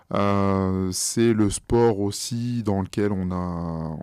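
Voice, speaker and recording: A man speaks in a fairly low pitch with a dark, mellow tone. The recording is very clean, with a silent background and a dry, close sound with no echo. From France. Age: 30s. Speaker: professional kickboxer. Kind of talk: podcast interview. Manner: halting, many fillers.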